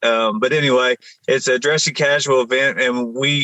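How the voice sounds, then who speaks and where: With a strong Appalachian accent, a man speaks at a moderate pace in a medium-pitched, bright, sharp tone, his fairly even intonation captured in a dry, close sound with no echo. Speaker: military veteran and nonprofit founder. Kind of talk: podcast interview. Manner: halting, many fillers and restarts.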